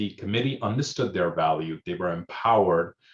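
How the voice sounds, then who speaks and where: The intonation is lively. The background is quiet. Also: man. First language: Hindi. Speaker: emergency manager. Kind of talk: panel discussion. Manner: hesitant, many fillers.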